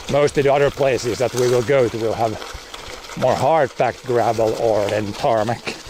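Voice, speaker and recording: A man speaks with a Finland Swedish accent. Noticeable background noise runs underneath. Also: medium pitch for a man, fairly even intonation, moderate pace. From Finland, Swedish-speaking area. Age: 40s. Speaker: farmer and streamer. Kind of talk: casual livestream chat. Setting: outdoors, cycling on gravel. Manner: halting, with fillers and repetitions.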